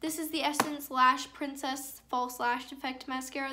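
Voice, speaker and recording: A woman projects her voice loudly at a high pitch, her intonation flat and monotone. The room echo is audible. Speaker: beauty vlogger. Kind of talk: makeup tutorial.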